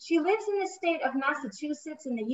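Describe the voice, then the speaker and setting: At a moderate pace, a woman talks with lively intonation. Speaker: panel host. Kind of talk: formal introduction. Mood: warm, polite. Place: home room. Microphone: video call.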